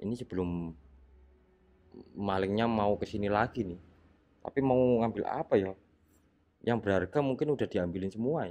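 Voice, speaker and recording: Quietly, a man speaks at a fairly low pitch and a moderate pace in a dark, mellow tone with ordinary pitch variation. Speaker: ghost-hunting explorer vlogger. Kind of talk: on-location exploration vlog. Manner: quiet, low voice.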